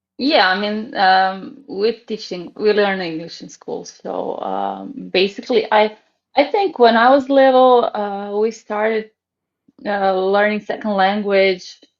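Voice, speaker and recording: In a Croatian accent, a woman speaks fairly slowly in a fairly high voice whose pitch varies in an ordinary way. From Croatia, Zagreb. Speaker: ballet teacher. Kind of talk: casual interview chat. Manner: hesitant, many fillers.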